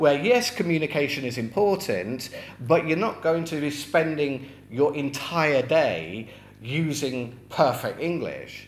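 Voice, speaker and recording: A man is speaking. Background noise is noticeable. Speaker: English teacher. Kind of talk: tutorial. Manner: casual, with fillers.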